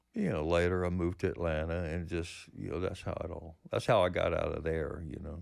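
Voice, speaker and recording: Fairly quick speech comes in a Southern US accent with monotone, flat intonation. The recording is very clean and the background silent. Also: man, very deep, low pitch for a man. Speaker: musician. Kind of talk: interview. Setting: studio.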